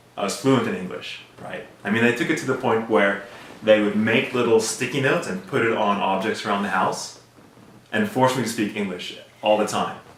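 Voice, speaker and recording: Amid noticeable background noise and audible room echo, a man with a fairly low pitch talks at a fairly quick pace with fairly even intonation. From South Africa. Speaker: immigrant sharing life story. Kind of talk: personal storytelling interview. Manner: casual, conversational with fillers.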